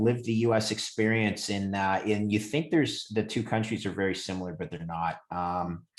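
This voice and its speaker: A man with a Canadian accent, fairly low in pitch, at a moderate pace with ordinary pitch variation. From Canada, Montreal. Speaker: credit trader. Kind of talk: interview. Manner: halting, many fillers.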